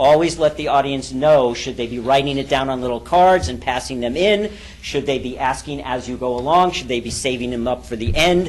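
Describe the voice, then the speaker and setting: Speaking at a fairly quick pace, a man uses ordinary pitch variation while room echo and noticeable background noise can be heard. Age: 50s. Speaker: business coach and seminar leader. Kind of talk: seminar talk. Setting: stage with audience. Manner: fast.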